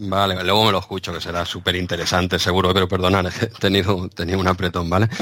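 A man with a very deep, low voice rattles along at a very fast pace with hardly any pauses, his intonation monotone and flat, against noticeable background noise. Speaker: podcast co-host. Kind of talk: casual chat.

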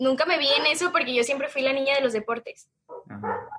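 This woman's voice is high-pitched. Its pitch moves in an ordinary way. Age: 20s. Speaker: marketing student and small business founder. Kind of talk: casual interview.

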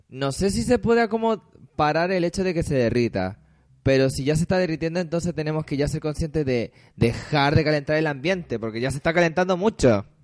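Over a quiet background, a man with a Chilean accent and a fairly high pitch talks at a fairly quick pace with lively intonation. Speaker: online radio co-host. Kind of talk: casual chat.

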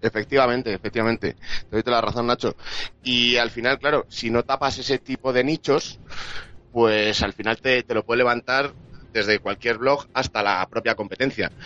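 A man's bright, sharp voice with fairly even intonation, very even loudness and a moderate pace. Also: medium pitch for a man, dry, close sound with no echo. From Spain, Madrid. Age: 20s. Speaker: sports journalist. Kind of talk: casual chat.

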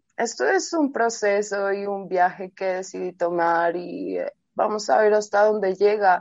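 Against a quiet background, a woman talks at a fairly slow pace and a fairly high pitch. Hers is a plain, everyday voice. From Colombia. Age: 30s. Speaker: reggaeton artist and DJ. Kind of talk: casual interview.

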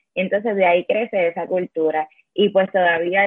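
The speaker is a woman. She has an unremarkable speaking voice. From Puerto Rico, Yabucoa. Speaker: sports journalist. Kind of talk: interview.

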